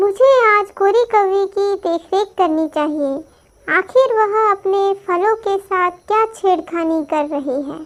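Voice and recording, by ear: This is a cartoonish character voice that sounds female, squeaky and extremely high in pitch. It moves along at a fairly slow pace.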